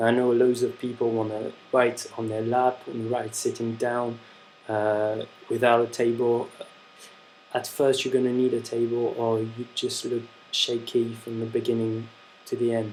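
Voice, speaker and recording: A man with a French accent speaks at a moderate pace and medium pitch, his intonation monotone and flat. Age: young. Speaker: handwriting instructor. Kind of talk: tutorial. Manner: casual, hesitant with fillers.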